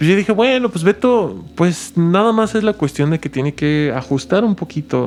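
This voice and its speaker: A man with a Mexican accent and lively intonation. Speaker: music teacher and composer. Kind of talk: casual conversation.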